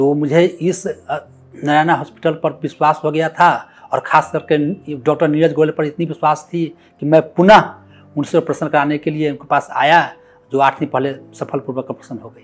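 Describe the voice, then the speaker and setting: Monotone and flat in intonation, a man speaks at a moderate pace with big swings in loudness. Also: fairly high pitch for a man. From Bihar, India (Sitamarhi). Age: 50s. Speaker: patient's son. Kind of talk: testimony.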